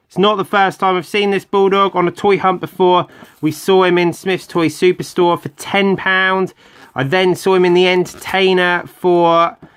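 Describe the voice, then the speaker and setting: Fairly slow in pace, a man with a British accent speaks at a high pitch. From UK. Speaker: toy collector youtuber. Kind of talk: toy unboxing video. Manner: casual, hesitant with fillers.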